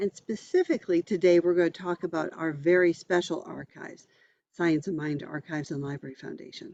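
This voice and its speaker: With a normal speaking voice, a woman talks at a fairly quick pace with a fairly low pitch, fairly even intonation and big swings in loudness. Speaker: minister, archive executive director. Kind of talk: interview host.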